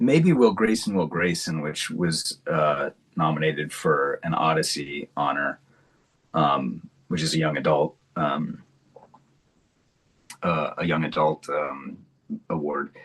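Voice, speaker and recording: Speaking very slowly with long, frequent pauses, a man talks with an American accent. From Kentucky, USA. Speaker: audiobook narrator. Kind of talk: interview answer. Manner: casual, relaxed.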